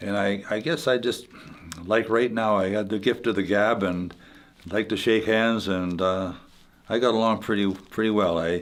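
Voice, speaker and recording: This man has a Manitoban accent. His intonation stays fairly even. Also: moderate pace, very even loudness. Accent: Canadian (Manitoba). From Canada, Winnipeg, Manitoba. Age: 80s+. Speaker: retired hockey player. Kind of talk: interview reminiscence. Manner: halting, many fillers and repeats.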